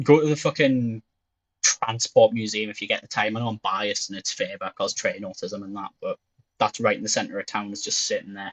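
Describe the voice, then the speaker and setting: A man in a Geordie accent at a fairly quick pace, with a dry, close sound and no echo. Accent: Geordie (Newcastle English). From northern England, Newcastle. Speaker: streamer. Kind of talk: casual chat.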